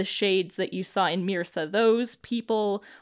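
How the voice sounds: The speaker has a natural reading voice.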